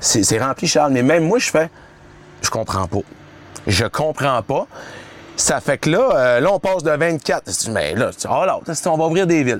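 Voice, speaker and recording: Noticeable background noise surrounds a man speaking at a fairly high pitch. His intonation is lively, with long, frequent pauses. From Quebec, La Baie (Saguenay). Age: 40s. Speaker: weight-loss coach and influencer. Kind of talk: casual interview. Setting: on a boat, filmed.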